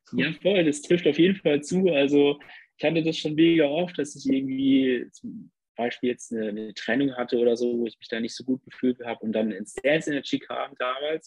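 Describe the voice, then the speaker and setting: A man with a normal speaking voice talks at a fairly quick pace, his pitch fairly high and its variation ordinary. His loudness swings widely. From southwest Germany, Lörrach area. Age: 20s. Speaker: nurse and dancer. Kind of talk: casual interview chat.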